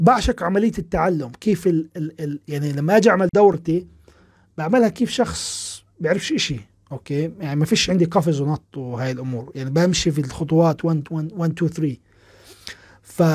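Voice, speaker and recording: A man speaks at a moderate pace with a Palestinian accent. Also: ordinary pitch variation. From Palestine. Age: 30s. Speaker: programming instructor and podcast host. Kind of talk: live-stream Q&A talk. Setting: live stream. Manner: casual, animated.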